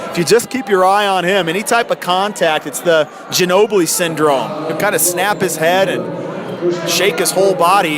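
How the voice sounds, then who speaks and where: There is noticeable background noise as a man with a high pitch speaks at a moderate pace. His pitch variation is ordinary. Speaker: radio sports broadcaster, play-by-play announcer. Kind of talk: radio basketball play-by-play commentary.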